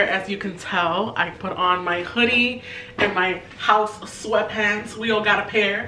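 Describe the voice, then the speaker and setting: A woman speaks at a medium pitch with ordinary pitch variation. Noticeable background noise and audible room echo come through. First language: Spanish. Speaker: lifestyle vlogger. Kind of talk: casual vlog chat. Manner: animated.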